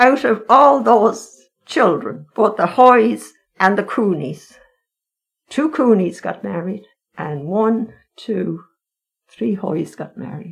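Speaking very slowly in an Irish accent, a woman with medium pitch uses lively intonation, vocal fry, and big swings in loudness. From Ireland, County Meath. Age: 80s+. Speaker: retired nanny. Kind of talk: interview. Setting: in person, masked.

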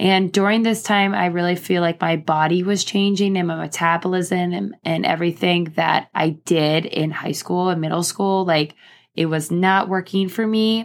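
A woman with a plain, everyday voice speaks at a fairly low pitch and a moderate pace, with fairly even intonation. Her loudness stays very even with hardly any pauses, on a very clean recording with a silent background. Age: 30s. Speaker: podcast host and teacher. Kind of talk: personal story monologue. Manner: casual, filler-heavy.

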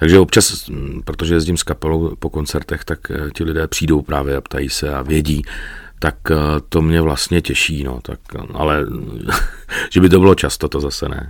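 With a very deep, low voice and vocal fry, a man talks at a moderate pace with fairly even intonation, taking long, frequent pauses. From Czech Republic, Náchod. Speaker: radio presenter and voice-over artist. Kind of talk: interview.

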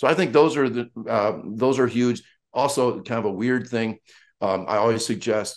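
Speaking at a fairly slow pace, a man has an ordinary speaking voice with ordinary pitch variation. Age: 60s. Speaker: track and football coach. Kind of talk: casual chat.

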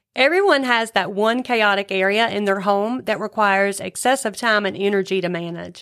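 A woman's plain, everyday voice at medium pitch and moderate pace, with ordinary pitch variation, hardly any pauses and a very clean recording over a silent background. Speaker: co-host listening and reacting. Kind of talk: casual chat. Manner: responsive, curious, chatty.

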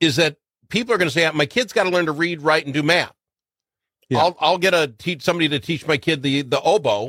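On a very clean recording with a silent background and a dry, close sound with no echo, a man talks very fast at a fairly high pitch, his bright, sharp tone showing vocal fry. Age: 60s. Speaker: talk radio host. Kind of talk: talk radio interview.

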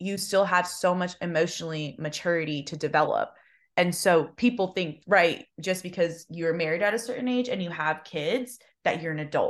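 Against a quiet background, a woman with an unremarkable speaking voice talks at a moderate pace. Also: fairly low pitch for a woman, ordinary pitch variation. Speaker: podcast co-host. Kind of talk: casual chat.

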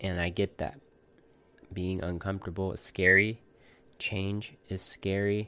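Speaking fairly slowly with long, frequent pauses, a man uses a very deep, low voice with a bright, sharp tone and monotone, flat intonation, all on a very clean recording with a silent background. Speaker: podcast host, tattoo artist. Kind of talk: solo monologue podcast. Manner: hesitant, with filler words.

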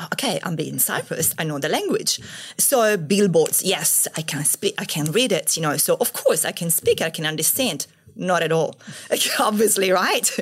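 Lively intonation at a moderate pace, with an Italian accent. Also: woman, medium pitch for a woman. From Italy. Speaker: entrepreneur. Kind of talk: podcast interview.

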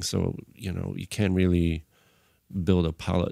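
In a very clean recording with a silent background, a man with a dark, mellow tone and a Bulgarian accent speaks at a moderate pace. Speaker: film and tv composer, musician. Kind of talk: casual interview conversation. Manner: halting, hesitant with filler words.

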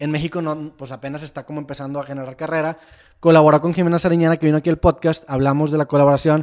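Very fast and fairly high in pitch, a man talks with fairly even intonation on a very clean recording with a silent background. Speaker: podcaster. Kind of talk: casual chat.

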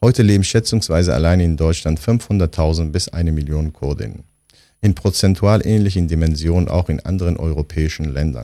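A man's very deep, low voice carries a dark, mellow tone and ordinary pitch variation. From Turkey. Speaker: philosopher, narrator. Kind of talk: scripted narration.

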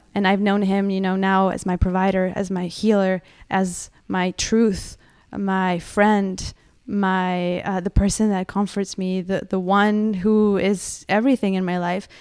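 Speaking fairly slowly in a monotone, flat delivery, a woman with a medium-pitched voice comes through on a very clean recording with a silent background. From Mexico. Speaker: church volunteer. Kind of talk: testimony.

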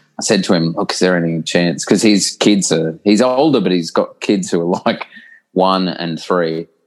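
Against a quiet background, a man with an Australian accent speaks at a moderate pace in a very deep, low pitch with ordinary pitch variation. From Australia (New South Wales small town, then Brisbane). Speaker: professor. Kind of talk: casual interview chat.

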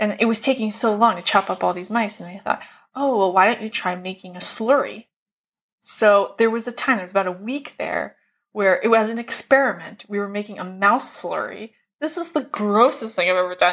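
A woman at a fairly high pitch with ordinary pitch variation and a fairly quick pace, on a very clean recording with a silent background. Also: big swings in loudness. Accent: American. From US Northeast, Philadelphia. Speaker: primate conservation manager. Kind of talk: interview.

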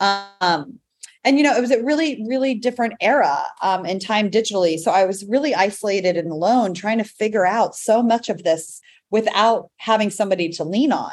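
A woman speaks at a fairly quick pace with lively intonation. She has a plain, everyday voice and a fairly high pitch. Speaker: entrepreneur and breast cancer survivor. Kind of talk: podcast interview.

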